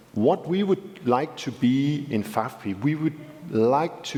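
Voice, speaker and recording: A man with a Danish accent speaks at a very slow pace. Noticeable background noise can be heard. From Denmark. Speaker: civil society representative. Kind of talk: panel discussion.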